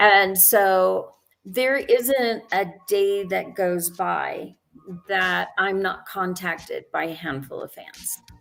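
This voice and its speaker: Music plays behind a woman who speaks at a very slow pace. Her loudness swings widely. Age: 60s. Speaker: actress and film director. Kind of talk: interview.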